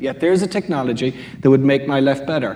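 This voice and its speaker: The pace is very fast as a man speaks. He uses lively intonation. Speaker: quantum computing panelist. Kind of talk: panel discussion.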